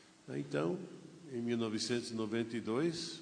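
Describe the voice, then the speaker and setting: A man speaks with ordinary pitch variation, and audible room echo fills the recording. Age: 70s. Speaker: pastor. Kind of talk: sermon. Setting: church.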